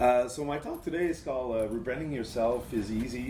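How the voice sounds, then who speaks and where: A man speaks with a French accent, and room echo is audible. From Quebec, Montreal. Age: 40s. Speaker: agency creative director, conference speaker. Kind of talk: conference talk. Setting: stage with audience.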